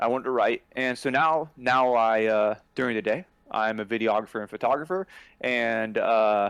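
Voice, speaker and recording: Here is a man with a plain, everyday voice at a medium pitch, with ordinary pitch variation. He talks at a moderate pace against a quiet background. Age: 30s. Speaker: screenwriter and videographer. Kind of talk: casual chat.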